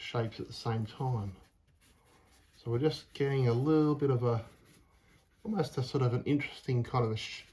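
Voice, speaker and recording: Somewhat breathy, a man's voice holds a fairly even intonation. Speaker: painter. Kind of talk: tutorial. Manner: calm; halting.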